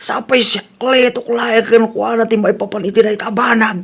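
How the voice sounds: Putting on a character voice, a man talks at a moderate pace with an extremely high pitch, a fairly bright tone, a slightly husky edge, vocal fry and fairly even intonation.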